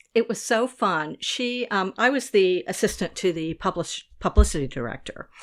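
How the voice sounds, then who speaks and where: A woman's medium-pitched voice with an American accent, vocal fry and very wide pitch swings, at a moderate pace in a very clean recording with a silent background. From US South. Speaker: food writer and editor. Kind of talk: interview.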